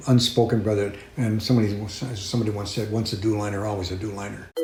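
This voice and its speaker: A man speaks with fairly even intonation. Room echo is audible. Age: 70s. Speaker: former radar technician. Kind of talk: interview testimony. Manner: halting.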